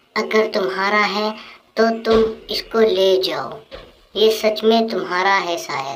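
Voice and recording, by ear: A female-sounding cartoonish character voice at medium pitch, delivered at a fairly slow pace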